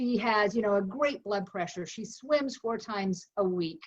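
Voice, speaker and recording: At a fairly slow pace, a woman with a fairly high pitch speaks somewhat breathily, her pitch varying in an ordinary way. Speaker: plant-based food company founder. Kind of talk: interview answer.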